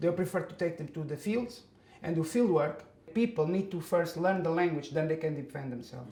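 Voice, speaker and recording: A man with a Portuguese accent, high pitch, ordinary pitch variation and a fairly quick pace. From Portugal. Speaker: migrant worker. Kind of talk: interview. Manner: halting.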